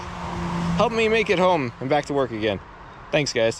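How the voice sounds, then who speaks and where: A man keeps up a moderate pace, with noticeable background noise behind him. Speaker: vlogger. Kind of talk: casual vlog.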